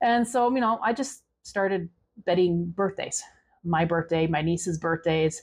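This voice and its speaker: A woman's fairly low voice at a fairly slow pace, with very even loudness and ordinary pitch variation. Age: 40s. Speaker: budgeting vlogger and truck driver. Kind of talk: storytelling. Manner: casual, halting with repetitions.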